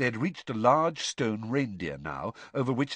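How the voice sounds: A natural reading voice is heard here.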